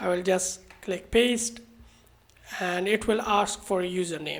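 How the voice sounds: The delivery comes at a fairly slow pace with vocal fry. Pitch varies in an ordinary way.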